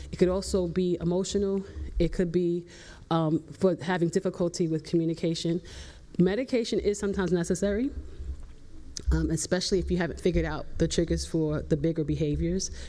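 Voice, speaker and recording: Low for a woman and dark and mellow in tone, her voice moves at a fairly quick pace with fairly even intonation and vocal fry. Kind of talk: panel talk. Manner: loud; hesitant with fillers.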